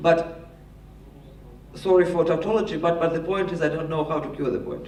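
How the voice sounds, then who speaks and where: With audible room echo around him, a man in a Russian accent talks at a fairly quick pace. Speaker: panelist, political expert. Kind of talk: panel discussion answer. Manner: halting, many repetitions.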